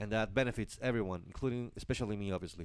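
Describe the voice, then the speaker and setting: In a very clean recording with a silent background, a man talks with a Spanish accent. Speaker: live stream host. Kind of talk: live stream monologue. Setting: live stream. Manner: halting, many fillers and self-corrections.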